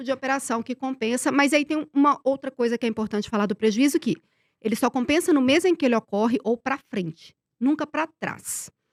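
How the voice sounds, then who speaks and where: A woman speaks in an animated tone with a high pitch. The recording is very clean, with a silent background and a dry, close sound with no echo. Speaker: investment tax expert. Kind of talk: podcast interview, explanatory. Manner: fast.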